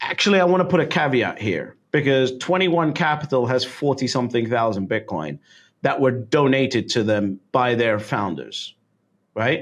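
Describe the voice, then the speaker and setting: A man with a British accent speaks with vocal fry, lively intonation and very even loudness. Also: medium pitch for a man, moderate pace. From London, England. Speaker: Bitcoin investor. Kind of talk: podcast interview answer.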